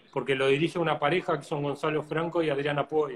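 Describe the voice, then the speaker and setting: Fairly high-pitched male speech at a fairly quick pace, with noticeable background noise. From Uruguay. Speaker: flamenco guitarist. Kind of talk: interview.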